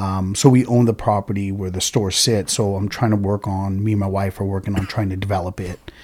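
Speaking at a fairly quick pace, a man with an American accent uses a fairly low pitch and a monotone, flat intonation. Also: hardly any pauses. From California (Oxnard/Ventura). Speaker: local business owner. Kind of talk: casual chat. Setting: studio.

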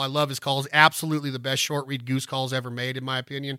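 A man's fairly high, bright, sharp voice in an animated tone at a very fast pace, on a very clean recording with a silent background. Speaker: duck call instructor, podcast host. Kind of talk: tutorial. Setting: studio.

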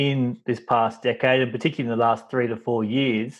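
This man has an Australian accent and a medium pitch. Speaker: podcast host. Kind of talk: interview conversation.

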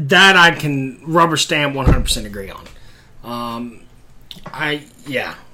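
Amid noticeable background noise, a man with a fairly high pitch speaks at a very slow pace, with long, frequent pauses, big swings in loudness and ordinary pitch variation. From Tennessee. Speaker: pastor. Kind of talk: casual chat.

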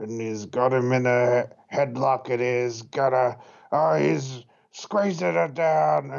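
Putting on a gravelly character voice, a man speaks at a medium pitch with very wide pitch swings, a very slow pace and long, frequent pauses. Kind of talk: announcer style.

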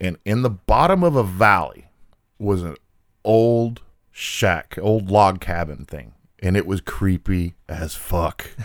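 Very deep and low, a man's voice moves at a very slow pace with ordinary pitch variation on a very clean recording with a silent background. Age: 40s. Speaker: flooring company territory manager, former carpenter. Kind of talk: casual chat. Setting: studio.

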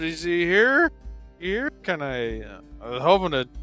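Mumbling in a put-on character voice at a fairly slow pace, the speaker makes very wide pitch swings and big swings in loudness over faint music in the background. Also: man, high pitch for a man. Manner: mumbling drunkenly, stumbling.

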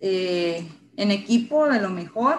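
A woman's bright, sharp voice at medium pitch, with a northern Mexican accent and a very slow pace. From Sonora, northern Mexico (San Luis Río Colorado). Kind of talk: personal testimony in interview.

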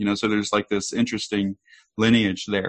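Fairly low in pitch, this man has an unremarkable speaking voice with fairly even intonation. The sound is dry and close, with no echo. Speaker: researcher and event organizer. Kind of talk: casual interview chat. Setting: video call.

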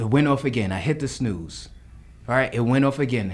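The speaker has a New York accent and lively intonation. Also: man. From New York, the Bronx. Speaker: menswear designer and stylist. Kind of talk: casual chat.

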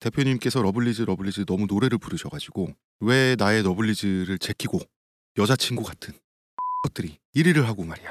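With lively intonation and a fairly low pitch, a man talks at a fairly quick pace. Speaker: podcast host. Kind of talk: casual chat. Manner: fast.

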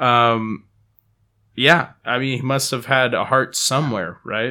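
On a very clean recording with a silent background, a man with a Californian accent speaks in a bright, sharp tone. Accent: Californian American. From Palo Alto, California. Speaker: guest. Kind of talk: casual chat.

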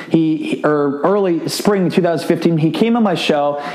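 A man speaks with an American accent at a high pitch. Noticeable background noise runs underneath. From US Midwest, Iowa. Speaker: podcast host and entrepreneur. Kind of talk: solo podcast monologue. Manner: speaks fast when excited.

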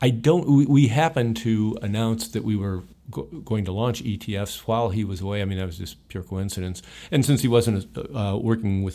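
A man with a Midwestern American accent speaks at a very fast pace in a dark, mellow tone. The recording is very clean with a silent background. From Ohio, US Midwest. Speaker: retired investment executive. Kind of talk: interview. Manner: halting, many fillers.

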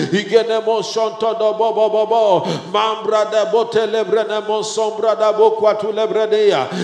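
Amid noticeable background noise, a man with a high pitch talks at a very slow pace in a passionate tone, his intonation monotone and flat. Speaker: church leader. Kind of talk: fervent prayer; exhortation/sermon. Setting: church gathering. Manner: fervent, passionate, emphatic; repetitive, exhorting.

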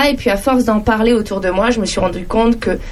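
Over noticeable background noise, the voice keeps a fairly quick pace and fairly even intonation. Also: woman. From France, various regions. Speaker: entrepreneur and digital trainer. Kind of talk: radio interview.

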